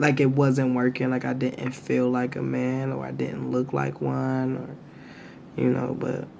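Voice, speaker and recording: A man at a fairly slow pace with hardly any pauses, audible room echo and noticeable background noise. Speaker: vlogger. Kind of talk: casual chat.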